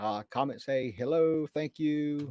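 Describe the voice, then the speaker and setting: A man at a fairly high pitch and very slow pace, dry and close with no echo, in a very clean recording with a silent background. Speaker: correctional officer and YouTuber. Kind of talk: live stream talk. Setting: live stream. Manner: loud; casual, halting with fillers.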